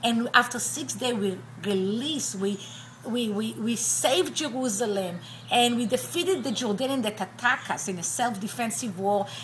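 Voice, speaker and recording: In an Israeli accent, the speaker moves at a moderate pace with lively intonation while noticeable background noise runs underneath. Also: woman, fairly high pitch for a woman. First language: Hebrew. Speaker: attorney and university professor. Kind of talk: personal testimony interview.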